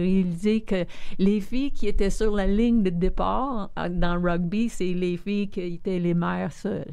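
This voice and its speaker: Audible room echo hangs around speech that is fairly slow and varies in pitch in an ordinary way. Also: woman. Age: 60s. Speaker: community leader and philanthropist. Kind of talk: interview conversation.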